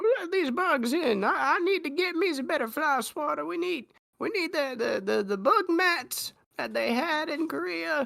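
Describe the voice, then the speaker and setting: A high-pitched, put-on character voice. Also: fairly slow pace. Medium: actual play.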